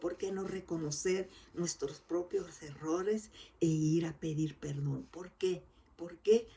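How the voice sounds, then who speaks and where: A woman with a fairly low pitch speaks at a very slow pace, her intonation fairly even. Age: 60s. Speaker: lay preacher. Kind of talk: sermon.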